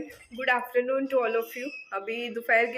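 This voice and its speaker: Music plays in the background as a woman speaks at a fairly slow pace in a fairly high pitch. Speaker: homemaker vlogger. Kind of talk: casual vlog narration. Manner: conversational.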